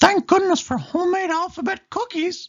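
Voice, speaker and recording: A squeaky, put-on character voice at an extremely high pitch moves along at a moderate pace. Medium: read story. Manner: cheerful.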